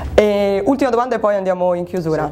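A woman talks very fast over light background noise. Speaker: interviewer for a local show. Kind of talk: casual interview. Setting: sports club locker room. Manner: playful, joking. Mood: friendly, playful. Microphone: lapel.

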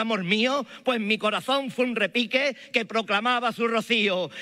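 A man with an Andalusian accent projects a raised voice at an extremely high pitch, his tone bright and sharp, with ordinary pitch variation at a moderate pace over a quiet background. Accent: Andalusian Spanish (Malaga). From Málaga, Spain. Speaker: Holy Week proclamation speaker. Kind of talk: solemn poetic oration, rhetorical spoken-word pregón with lyrical imagery. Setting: stage with audience. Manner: rhetorical, measured; emotive, fervent, declamatory. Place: stage. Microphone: podium.

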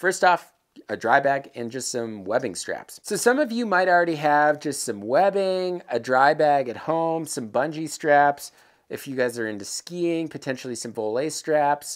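A man speaks at a moderate pace. Nothing much is heard behind him. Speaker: presenter. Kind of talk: tutorial. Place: workshop. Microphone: lapel.

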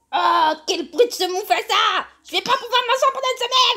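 The pitch is extremely high. It belongs to a put-on character voice. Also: moderate pace. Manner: loud, excitable.

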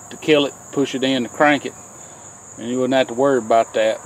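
Man's voice, dry with no echo. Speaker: tractor owner explaining repair. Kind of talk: tutorial. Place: farm machine. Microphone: phone near.

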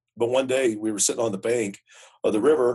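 Somewhat breathy, a man with an American accent talks in a medium pitch. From Utah. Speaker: jazz guitarist and music educator. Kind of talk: casual chat. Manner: animated.

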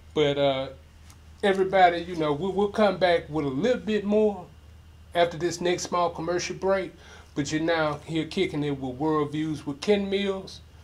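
This man has a high-pitched voice with ordinary pitch variation. He talks at a moderate pace. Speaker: online show host. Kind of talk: casual interview. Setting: studio. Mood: jokey, animated storytelling. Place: studio.

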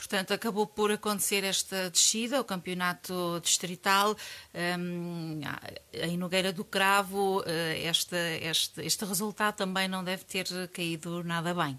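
A woman speaks in a bright, sharp tone at a fairly slow pace. Her intonation stays fairly even. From Portugal. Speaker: radio news presenter. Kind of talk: news reading. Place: studio. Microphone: studio mic.

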